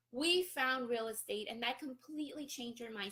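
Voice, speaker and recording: Raised and projected, a woman's high voice carries a Spanish accent and lively intonation. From Colombia, Barranquilla. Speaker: real estate investor and business coach. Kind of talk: live-stream talk.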